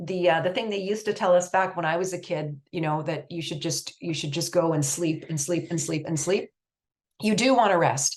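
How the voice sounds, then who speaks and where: A woman with a Canadian accent talks at a fairly quick pace. Her pitch is fairly low, with ordinary pitch variation. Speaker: research nonprofit executive director and presenter. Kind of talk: presentation. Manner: fast.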